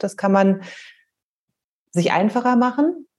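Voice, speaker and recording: Her tone is dark and mellow. The woman's voice carries a somewhat breathy quality. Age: 40s. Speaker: author and parent. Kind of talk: interview. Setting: remote call.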